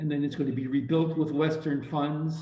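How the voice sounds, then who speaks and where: A man speaks with a fairly high pitch and a somewhat breathy voice. Audible room echo surrounds the recording. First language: Ukrainian. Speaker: audience participant. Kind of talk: audience Q&A comment.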